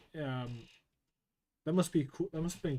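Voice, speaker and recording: The speaker is a man. His voice shows ordinary pitch variation. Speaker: artist streaming while drawing. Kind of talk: casual livestream chat while drawing. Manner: casual, many filler words.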